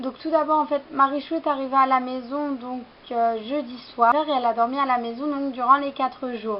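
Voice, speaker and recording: At a moderate pace, a woman speaks with a high pitch and a monotone, flat intonation. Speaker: fashion vlogger. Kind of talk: haul vlog, casual talk to camera. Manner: hesitant, many fillers.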